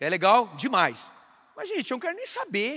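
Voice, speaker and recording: In a raised, projected voice, a man speaks with a bright, sharp, animated tone and very wide pitch swings. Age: 40s. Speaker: pastor. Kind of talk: sermon.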